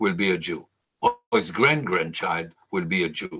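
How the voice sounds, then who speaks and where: A man talks with an Israeli accent and vocal fry. His pitch swings very widely. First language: Hebrew. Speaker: lecturer. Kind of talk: lecture.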